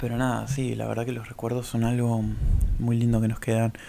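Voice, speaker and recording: A man with an Argentine accent. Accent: Rioplatense Argentine Spanish. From Argentina, Buenos Aires and Córdoba. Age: 20s. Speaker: podcast host. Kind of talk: solo monologue. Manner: halting.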